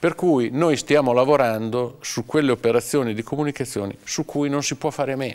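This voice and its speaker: With a normal speaking voice at a medium pitch and ordinary pitch variation, a man talks at a fairly quick pace with hardly any pauses. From Romagna, Cesena. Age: 50s. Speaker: communications agency owner. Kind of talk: interview.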